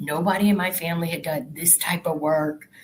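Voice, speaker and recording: Speaking with a Southern US accent, a woman sounds somewhat breathy. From Arkansas, US South. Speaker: corporate professional. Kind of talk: interview.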